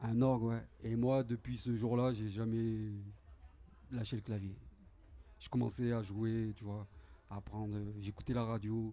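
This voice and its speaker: A man with a dark, mellow tone and fairly even intonation speaks at a fairly slow pace, with long, frequent pauses. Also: medium pitch for a man. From Grenoble, France. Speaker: keyboard player. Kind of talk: interview. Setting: café with audience.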